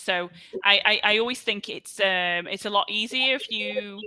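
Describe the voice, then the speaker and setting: The speaker is a woman with a Scouse accent. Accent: Scouse (Liverpool English). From Liverpool, England. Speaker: online English tutor. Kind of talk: casual chat.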